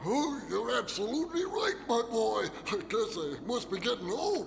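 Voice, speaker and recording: A cartoonish character voice moves at a moderate pace. Clear background noise sits behind it. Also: man, extremely high pitch for a man. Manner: chuckling, warm.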